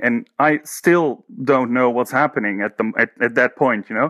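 A man speaks with a Dutch accent at a medium pitch. The sound is dry and close with no echo, and the background is quiet. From Netherlands, Haarlem. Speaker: painter and teacher. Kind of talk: interview. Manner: halting.

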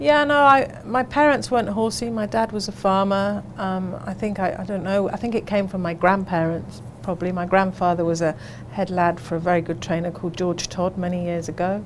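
Over noticeable background noise, a woman with an English accent talks at a fairly quick pace and medium pitch, her intonation lively and hardly any pauses between words. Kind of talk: casual radio chat.

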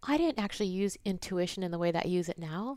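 A normal speaking voice from a woman at a fairly quick pace. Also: very clean recording, silent background. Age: 40s. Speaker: intuitive business coach. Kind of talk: interview.

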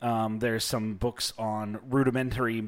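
With fairly even intonation, the voice reads in a natural way.

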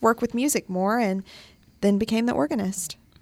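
In a very clean recording with a silent background, a woman talks at a fairly quick pace with fairly even intonation, an unremarkable speaking voice. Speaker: radio co-host. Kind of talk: live college radio show, casual chat.

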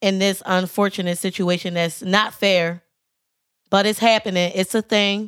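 A woman speaks at a moderate pace in a medium pitch, her intonation monotone and flat and her loudness very even. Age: 20s. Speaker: podcast co-host. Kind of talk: casual chat. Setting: studio.

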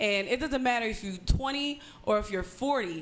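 A woman's fairly high voice at a moderate pace, with audible room echo. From small town outside Pittsburgh. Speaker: comedian. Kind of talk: casual chat.

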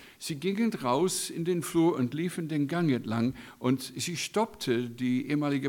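A man talks very slowly on a very clean recording with a silent background. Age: 60s. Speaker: guest preacher and Bible school teacher. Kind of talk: sermon.

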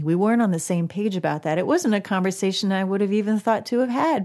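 A woman's medium-pitched voice with a dark, mellow tone and lively intonation, in a very clean recording against a silent background. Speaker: singer-songwriter. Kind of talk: casual chat. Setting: studio.

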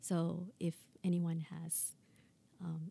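A woman speaks with a Thai accent at a fairly low pitch. Her tone is dark, mellow and somewhat breathy. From Thailand, Bangkok. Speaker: public administration professor. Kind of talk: interview conversation.

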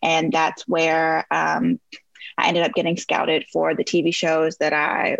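The dry, close recording, with no echo, carries a woman's voice with vocal fry and an American accent. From US Midwest. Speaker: former pageant queen and reality TV personality. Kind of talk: interview.

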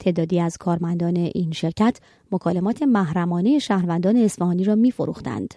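A woman's dark, mellow tone, fairly low in pitch with ordinary pitch variation, very even loudness and a fairly quick pace. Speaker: radio magazine host. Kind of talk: news reading. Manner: formal.

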